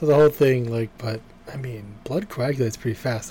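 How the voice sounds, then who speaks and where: Speaking with an American accent at a fairly quick pace, a man has a plain, everyday voice of medium pitch with ordinary pitch variation. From Boston, US. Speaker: podcast co-host reviewing TV episodes. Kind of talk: casual chat.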